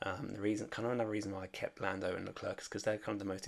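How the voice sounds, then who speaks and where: Soft-spoken, the voice moves at a very fast pace. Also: man. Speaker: fantasy sports content creator. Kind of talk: casual commentary vlog. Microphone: may be quiet.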